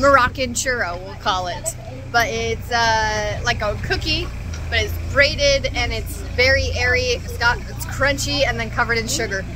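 At a moderate pace, a woman talks in a dry, echo-free recording with noticeable background noise. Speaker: travel vlogger. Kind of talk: casual vlog chat. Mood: upbeat, enthusiastic. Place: street. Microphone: phone near.

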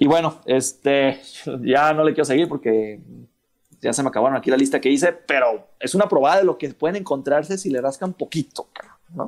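The speaker is a man talking at a fairly quick pace. His pitch variation is ordinary. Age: 30s. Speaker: miniature painter and board gamer. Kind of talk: casual chat.

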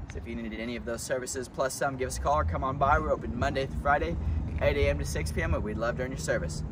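Noticeable background noise sits behind the voice. A man speaks at a very fast pace. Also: dry sound with no echo. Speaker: shop employee hosting testimonial. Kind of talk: promotional host talk. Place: street. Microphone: camera far.

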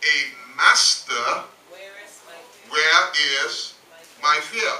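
A man speaking very slowly, with audible room echo. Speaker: pastor. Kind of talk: sermon. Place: church.

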